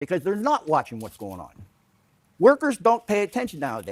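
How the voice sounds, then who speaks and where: The sound is dry and close with no echo as a high-pitched man with an American accent talks in very wide pitch swings. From Ohio, US. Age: 60s. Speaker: local resident. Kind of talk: town hall testimony. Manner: emotional, blunt.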